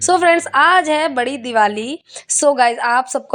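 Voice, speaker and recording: A woman speaks at a very slow pace with ordinary pitch variation. Noticeable background noise is present. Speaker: family vlogger. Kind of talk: vlog narration. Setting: at home. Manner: muffled.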